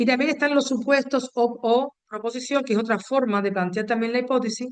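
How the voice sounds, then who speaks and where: At a fairly quick pace, a woman speaks in a high pitch with fairly even intonation and very even loudness. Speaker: university lecturer. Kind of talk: lecture. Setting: video call.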